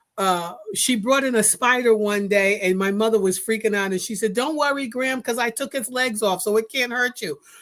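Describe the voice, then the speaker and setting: A woman with a plain, everyday voice and an American accent, fairly high in pitch with ordinary pitch variation, at a moderate pace on a very clean recording with a silent background. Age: 60s. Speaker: podcast host. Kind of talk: casual interview.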